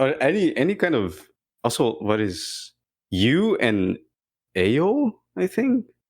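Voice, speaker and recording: A man with vocal fry and a fairly high pitch speaks at a very slow pace with long, frequent pauses. His pitch swings very widely while his loudness stays very even, on a very clean recording with a silent background. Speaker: podcast co-host. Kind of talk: casual chat.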